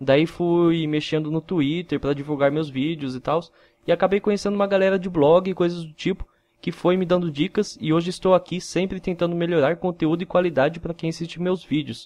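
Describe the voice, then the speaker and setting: Speaking at a fairly quick pace, a man with a high pitch keeps his intonation fairly even. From interior of São Paulo, Brazil (Mogi Mirim). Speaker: gaming YouTuber. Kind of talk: casual vlog.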